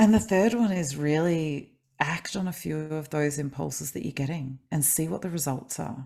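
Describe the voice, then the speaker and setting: With an Australian accent, a woman speaks at a moderate pace in a very deep, low, dark and mellow voice with lively intonation, in a very clean recording with a silent background. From Australia, grew up in Adelaide. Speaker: kinesiologist and life coach, author. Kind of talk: podcast interview.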